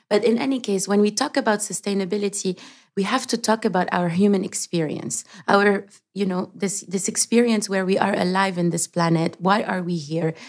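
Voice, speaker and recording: A woman with a plain, everyday voice speaks at a medium pitch and a fairly quick pace, with ordinary pitch variation. The recording is very clean, with a silent background. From Lebanon, raised partly in Canada. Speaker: sustainability advocate and founder. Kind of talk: interview.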